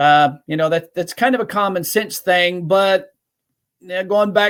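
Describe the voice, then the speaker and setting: This man's voice sits high, moving at a moderate pace with fairly even intonation. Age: 60s. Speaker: lubrication consultant, webinar presenter. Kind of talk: webinar Q&A. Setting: webinar.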